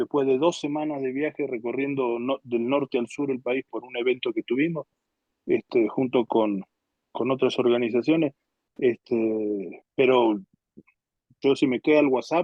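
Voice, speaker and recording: A man with a plain, everyday voice speaks at a fairly slow pace, with medium pitch and fairly even intonation. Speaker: pastor teaching a Bible class. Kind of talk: lecture.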